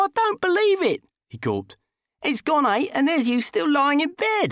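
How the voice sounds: A man uses a put-on character voice, extremely high and fairly bright, with very wide pitch swings. He goes at a fairly slow pace, and the sound is dry and close with no echo.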